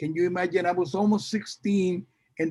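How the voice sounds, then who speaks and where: A man's high-pitched voice with a Puerto Rican New York accent and ordinary pitch variation. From Puerto Rico, moved to New York at fifteen. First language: Spanish. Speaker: salsa singer. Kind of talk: interview. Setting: video call. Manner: halting, many fillers and repetitions.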